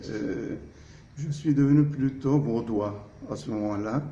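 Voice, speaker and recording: There's audible room echo as a man speaks at a very slow pace. His pitch is medium, with ordinary pitch variation. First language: Turkish (speaking French). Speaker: architect. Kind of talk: interview. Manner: hesitant, frequent fillers.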